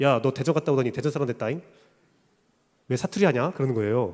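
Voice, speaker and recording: There's lively intonation in this man's speech. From South Korea, Daejeon (Chungcheong region). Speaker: pastor. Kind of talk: sermon.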